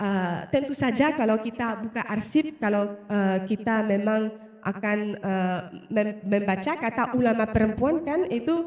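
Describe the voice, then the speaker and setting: Lively intonation over noticeable background noise. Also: woman. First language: not Indonesian (speaking Indonesian). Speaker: researcher. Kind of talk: research presentation. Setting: presentation with live and online audience. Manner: halting, many fillers.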